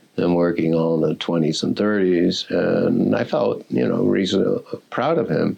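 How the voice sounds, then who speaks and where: A man speaks at a fairly slow pace with very even loudness over noticeable background noise. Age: 70s. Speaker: history professor. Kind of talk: oral history interview. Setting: university hall room. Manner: halting.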